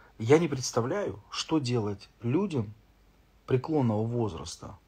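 A somewhat breathy male voice at a fairly slow pace, with ordinary pitch variation. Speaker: streamer. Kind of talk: casual live stream chat answering comments. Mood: irritated ranting about fines. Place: home room. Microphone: phone near.

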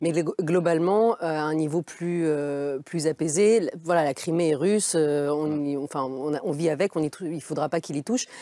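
A woman speaks in a very deep, low voice with a dark, mellow tone, hardly pausing. The sound is dry with no echo, and the background is quiet. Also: ordinary pitch variation, moderate pace. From Russian-born, grew up between France and Russia. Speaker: newspaper foreign editor; journalist guest. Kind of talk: televised debate. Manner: halting, many repetitions. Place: studio. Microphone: lapel.

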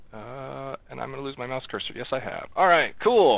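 A man's voice, dry with no echo. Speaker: software project lead; meeting host presenting. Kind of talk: online meeting. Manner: fast. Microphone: video call.

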